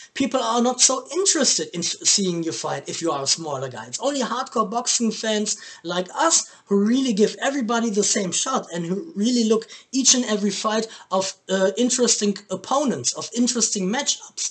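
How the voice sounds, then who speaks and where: Over noticeable background noise, a man with a German accent speaks at a fairly quick pace in a high pitch. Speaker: boxing commentator, YouTuber. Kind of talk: video commentary. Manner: halting.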